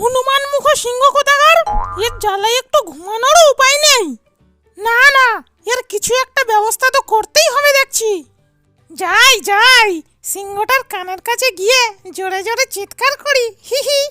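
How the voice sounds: A cartoonish character voice speaks at a moderate pace, with faint music in the background.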